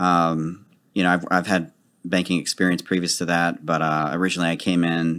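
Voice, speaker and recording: Speaking with an American accent, a man with a very deep, low pitch keeps a fairly quick pace. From Dallas, Texas (Oak Cliff). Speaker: banker. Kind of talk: interview.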